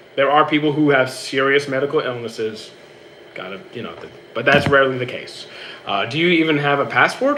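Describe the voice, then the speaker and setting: Noticeable noise sits in the background. Over it, a man with a fairly high-pitched voice talks at a fairly quick pace. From Canada. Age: 30s. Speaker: streamer and gym trainer. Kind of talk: casual live-stream Q&A. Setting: live stream on a treadmill. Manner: stutters, repeats himself.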